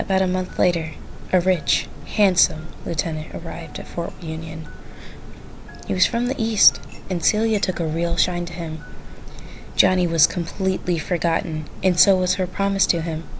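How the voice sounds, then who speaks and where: Over music in the background, the speaker keeps a moderate pace and fairly even intonation. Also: woman, fairly low pitch for a woman. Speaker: storyteller. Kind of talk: reading aloud.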